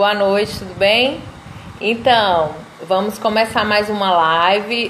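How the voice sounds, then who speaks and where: This woman talks at a very slow pace with a medium pitch and ordinary pitch variation. Noticeable background noise and audible room echo fill the recording. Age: 30s. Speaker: law student and live host. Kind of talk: casual live stream chat. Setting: Instagram live video.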